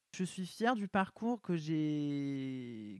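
Dry and close with no echo, a man speaks in a fairly high pitch. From southern France, small village. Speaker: actor and fashion model. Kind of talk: casual interview chat. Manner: halting, many hesitations.

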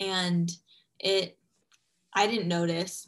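Fairly slow and somewhat breathy, a woman speaks with monotone, flat intonation. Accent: American. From US West Coast, Los Angeles. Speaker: former anorexia patient, coaching client. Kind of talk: interview testimony.

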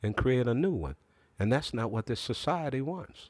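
An ordinary speaking voice, this man talks at a moderate pace and medium pitch with ordinary pitch variation, dry and close with no echo, on a very clean recording with a silent background. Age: 50s. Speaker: historian of African studies. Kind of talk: interview.

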